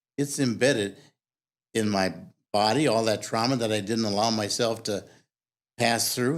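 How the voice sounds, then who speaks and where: On a very clean recording with a silent background, a medium-pitched man with vocal fry talks at a moderate pace with lively intonation. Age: 70s. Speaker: recovery program member sharing his story. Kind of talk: casual chat; reading aloud.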